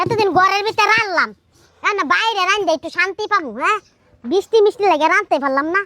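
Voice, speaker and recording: In a dry, close recording with no echo, a put-on character voice moves at a moderate pace with ordinary pitch variation. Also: woman, extremely high pitch for a woman. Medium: voice reel. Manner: brash, defiant.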